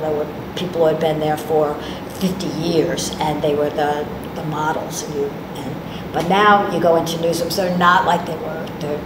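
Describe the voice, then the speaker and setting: With noticeable background noise around her, a woman speaks at a moderate pace in a fairly low pitch, her intonation monotone and flat. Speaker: journalism professor and radio commentator; journalism professor, radio commentator. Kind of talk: casual chat. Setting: university classroom. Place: meeting room.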